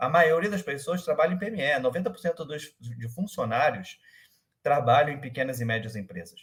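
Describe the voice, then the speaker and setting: A man speaks at a moderate pace in a fairly high, somewhat breathy voice, with lively intonation and big swings in loudness. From Rio de Janeiro, Brazil. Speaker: startup manager. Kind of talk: interview. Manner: halting, many fillers.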